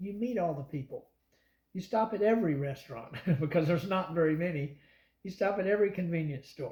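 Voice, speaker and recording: Somewhat breathy and dark, mellow in tone, the voice keeps a moderate pace with lively intonation. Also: man. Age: 60s. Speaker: long-distance cyclist. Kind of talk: interview answer.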